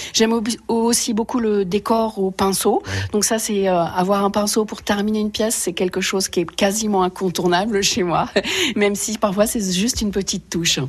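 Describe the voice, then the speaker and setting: Speaking at a moderate speed with fairly even intonation, a woman is heard against noticeable background noise. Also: medium pitch for a woman. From Paris region, France. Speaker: potter and ceramicist. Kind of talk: radio interview. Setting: home workshop, village.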